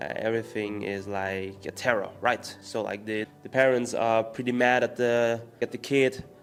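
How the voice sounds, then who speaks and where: A man talks in a German accent with hardly any pauses and fairly even intonation. Noticeable background noise runs underneath. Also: medium pitch for a man, moderate pace. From Austria. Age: 20s. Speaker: entrepreneur and spirituality vlogger. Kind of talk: casual explainer monologue. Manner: hesitant, many fillers.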